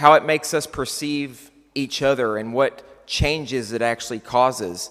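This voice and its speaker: Speaking with a West Texas accent, a man at medium pitch keeps a moderate pace and ordinary pitch variation. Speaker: keynote speaker. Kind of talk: conference keynote. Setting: stage with audience.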